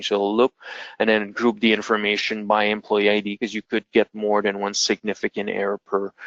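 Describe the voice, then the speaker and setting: A man with a fairly low pitch at a fairly quick pace. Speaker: integration consultant presenting a webinar. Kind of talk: webinar software demo. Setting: online webinar. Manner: fast.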